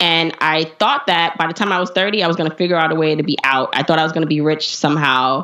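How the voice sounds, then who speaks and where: A woman with an American accent and a fairly low pitch talks at a very fast pace with hardly any pauses. Her intonation is fairly even, her loudness very even, and there is noticeable background noise. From US Northeast, Brooklyn, New York. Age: 30s. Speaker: personal finance blogger and podcaster. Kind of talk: interview.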